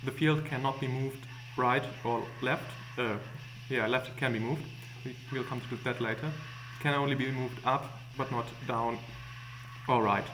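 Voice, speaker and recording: Amid noticeable background noise and audible room echo, the speaker talks at a moderate pace with monotone, flat intonation. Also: man. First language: not English. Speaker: gaming tutorial maker. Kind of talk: tutorial. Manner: hesitant, many fillers.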